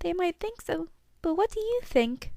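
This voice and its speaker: Using a put-on character voice, a woman speaks at a moderate pace in a squeaky, extremely high pitch. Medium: read story. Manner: sweet, affectionate.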